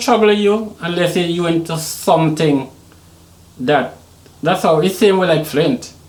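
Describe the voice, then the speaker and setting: Over noticeable background noise, a man with an American accent speaks at a very slow pace, his high-pitched voice full of lively intonation. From Trinidad and Tobago (born Saint Vincent). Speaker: Caribbean hip hop artist. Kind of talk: podcast interview.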